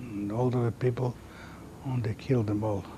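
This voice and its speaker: Somewhat breathy, a man at medium pitch speaks in a dark, mellow tone with fairly even intonation. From Latvia, Riga. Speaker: Holocaust survivor. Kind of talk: testimony. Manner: halting.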